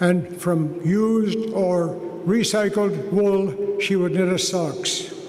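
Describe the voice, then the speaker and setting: High-pitched man at a very slow pace, fairly even intonation and very even loudness, amid audible room echo and noticeable background noise. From Vancouver, Canada. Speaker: honorary degree recipient, businessman. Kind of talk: convocation acceptance speech. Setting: graduation ceremony with audience.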